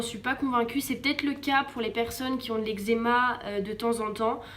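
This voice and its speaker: Over noticeable background noise, a woman speaks at a moderate pace in a high pitch with monotone, flat intonation. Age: 20s. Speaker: vlogger. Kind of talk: personal testimony and advice vlog. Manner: hesitant, many fillers; casual.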